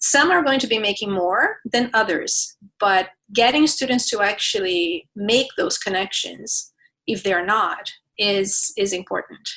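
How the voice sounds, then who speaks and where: With a bright, sharp tone, a woman speaks at a fairly high pitch and a fairly slow pace, her pitch varying in an ordinary way. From Brazil. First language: Portuguese. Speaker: professor. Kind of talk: interview.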